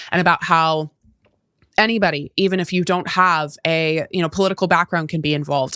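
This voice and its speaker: A woman talks at a fairly quick pace with fairly even intonation in a plain, everyday voice. The recording is very clean and dry, with a silent background and a close sound with no echo. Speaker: podcast host. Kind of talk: podcast interview, casual talk.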